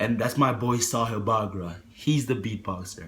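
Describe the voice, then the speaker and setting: A man speaks in an animated tone that is somewhat breathy. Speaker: motivational vlogger. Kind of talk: motivational talk to camera.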